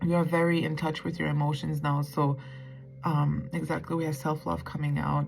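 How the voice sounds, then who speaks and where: Against music in the background, a woman speaks with very deep, low pitch and fairly even intonation. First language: not English. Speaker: tarot reader. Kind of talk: tarot reading monologue. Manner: casual, hesitant with fillers.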